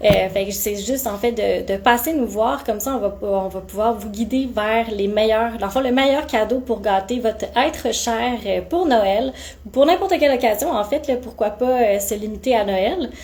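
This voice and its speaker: A woman talks at a moderate pace and fairly high pitch with ordinary pitch variation and hardly any pauses. Noticeable background noise is present. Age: 20s. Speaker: aesthetic clinic practitioner. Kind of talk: live-stream Q&A. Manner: animated.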